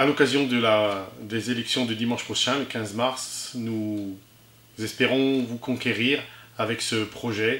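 A man at medium pitch with fairly even intonation and audible room echo. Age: 50s. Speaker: municipal election candidate; election candidate. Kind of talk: campaign statement. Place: empty room.

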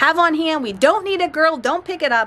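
Light background noise sits under a woman who talks fairly quickly with lively intonation. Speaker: keto vlogger. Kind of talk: casual vlog chat. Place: street. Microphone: phone near.

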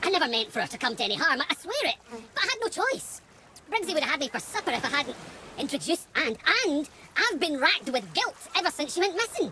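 A cartoonish character voice swings widely in pitch, with a bright, sharp tone and a fairly quick pace.

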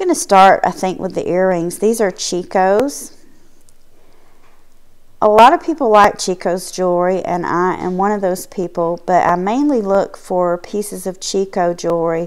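This woman talks at a moderate pace. Her pitch moves an ordinary amount. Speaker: thrift haul vlogger. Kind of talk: casual vlog chat. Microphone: phone near.

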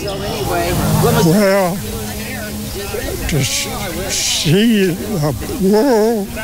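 The recording of this man's voice is dry with no echo, though there is noticeable background noise. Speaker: war veteran. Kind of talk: interview answer. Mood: reflective, calm. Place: open country. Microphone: handheld.

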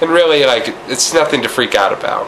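Noticeable background noise is audible. Over it, a man speaks at a moderate pace. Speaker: weight loss vlogger. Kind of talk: casual talk to camera.

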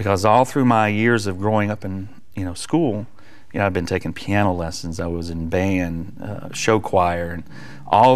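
A man with an American accent speaks at a moderate pace and fairly low pitch, with ordinary pitch variation. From US South. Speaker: worship leader and evangelist; evangelist. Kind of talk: testimony. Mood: warm, earnest. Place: studio. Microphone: lapel.

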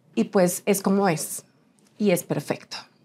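Her pitch sits at a medium level for a woman and varies in an ordinary way. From Colombia. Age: 30s. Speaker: TV presenter and model; TV presenter. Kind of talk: interview. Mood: reflective, emotional, personal. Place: studio.

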